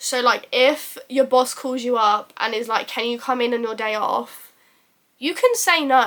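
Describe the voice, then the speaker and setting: A woman speaks in a high voice at a moderate pace. Her intonation stays fairly even. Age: 20s. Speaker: YouTuber. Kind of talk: casual talk to camera. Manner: chatty, informal.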